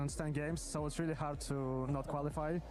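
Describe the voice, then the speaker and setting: Music plays in the background, and audible room echo fills the space. The speech moves at a fairly quick pace in a monotone, flat intonation. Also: man. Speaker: professional esports player. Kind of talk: post-match interview. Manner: brief, few words.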